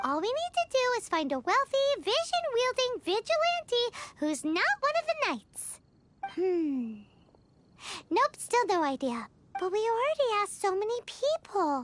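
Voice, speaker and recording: An extremely high-pitched put-on character voice with very wide pitch swings, an energetic tone and a moderate pace. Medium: video game. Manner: energetic, cheeky.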